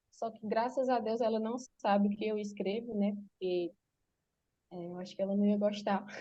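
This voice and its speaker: Pausing long and often, a woman speaks at a moderate pace in a somewhat breathy, dark, mellow voice of medium pitch with monotone, flat intonation. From Brazil, Pernambuco (Exu). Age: 20s. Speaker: writer. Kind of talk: interview. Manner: halting, many fillers.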